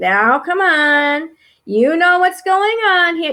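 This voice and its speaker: Spoken at a very slow pace, this put-on character voice sits at an extremely high pitch. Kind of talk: authoritative, coaxing. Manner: firm, guilt-tripping.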